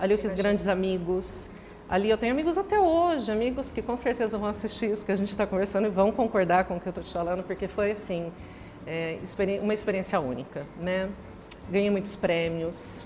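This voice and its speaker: With a normal speaking voice, a woman talks at a fairly quick pace and with ordinary pitch variation. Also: medium pitch for a woman. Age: 40s. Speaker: franchise store owner. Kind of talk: casual interview chat.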